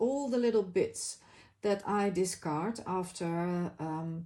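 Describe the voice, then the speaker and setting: Lively intonation and a dark, mellow tone mark this voice with a Dutch accent, captured on a very clean recording with a silent background. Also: woman. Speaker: crafting YouTuber. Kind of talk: casual craft video talk. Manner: halting, many fillers.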